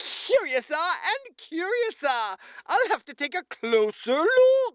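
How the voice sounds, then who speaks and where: A put-on character voice at an extremely high pitch, with very wide pitch swings. The pace is fairly slow. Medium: read story. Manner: playful, curious.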